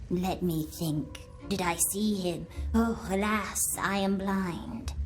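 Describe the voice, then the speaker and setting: A female-sounding voice in a put-on character voice speaks at a very slow pace against clear background noise. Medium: machinima. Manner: echoes others' words, teasing.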